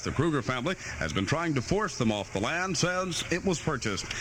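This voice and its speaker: A man talks at a fairly quick pace with lively intonation. Noticeable background noise runs under his speech. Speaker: radio news anchor. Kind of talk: radio newscast. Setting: AM radio studio.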